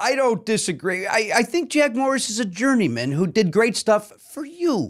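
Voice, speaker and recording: In a Chicago accent, a man with a high pitch talks at a moderate pace with hardly any pauses and very wide pitch swings. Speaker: comedian. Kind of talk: casual chat. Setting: studio. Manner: animated.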